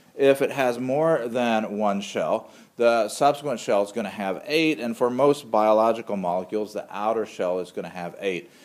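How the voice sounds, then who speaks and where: A man with a normal speaking voice talks at a moderate pace. His pitch sits in the medium range with ordinary variation. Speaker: microbiology instructor. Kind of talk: lecture.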